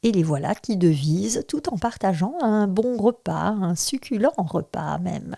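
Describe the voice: The voice is plain reading aloud, carried by lively intonation.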